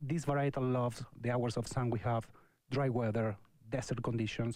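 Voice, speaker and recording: A man with an Argentine accent and fairly even intonation. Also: medium pitch for a man, moderate pace. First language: Spanish. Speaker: winemaker. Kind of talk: radio interview. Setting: studio. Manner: halting.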